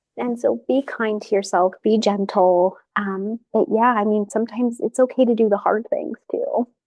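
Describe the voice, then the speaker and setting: With an ordinary speaking voice, a woman talks at a moderate pace and fairly high pitch, keeping her intonation fairly even and hardly pausing. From US West, Las Vegas. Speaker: family therapist and professor. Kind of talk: podcast interview.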